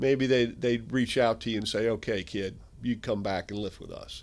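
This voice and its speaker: A man with an American accent and an ordinary speaking voice, at medium pitch and moderate pace, with ordinary pitch variation. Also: very clean recording, silent background. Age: 60s. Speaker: strength equipment company founder. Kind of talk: interview.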